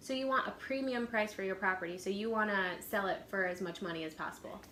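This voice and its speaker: Over noticeable background noise and audible room echo, a woman talks at a very fast pace, her medium pitch showing ordinary variation. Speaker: real estate agent. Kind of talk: instructional role-play.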